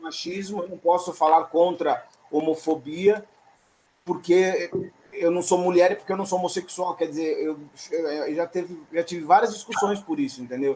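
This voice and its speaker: A man talks with a high pitch. His intonation is fairly even. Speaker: theatre audience member. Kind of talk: post-show discussion. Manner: fast.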